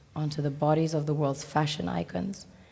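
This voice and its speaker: A woman's very deep, low pitch and dark, mellow tone at a moderate pace. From Sierra Leone. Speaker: speaker at a talk event. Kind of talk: public talk. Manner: formal.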